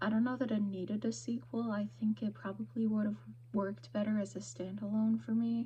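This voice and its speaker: A woman's somewhat breathy, fairly low voice with very even loudness and very wide pitch swings. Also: fairly quick pace. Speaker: book vlogger. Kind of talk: casual vlog talk. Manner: hesitant, many ums; quiet.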